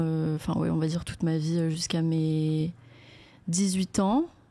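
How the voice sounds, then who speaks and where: A woman's fairly low, dark, mellow voice at a fairly slow pace with fairly even intonation, on a very clean recording with a silent background. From France, Paris suburbs (Essonne). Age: 20s. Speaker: content creator. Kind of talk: casual chat. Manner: hesitant, many fillers.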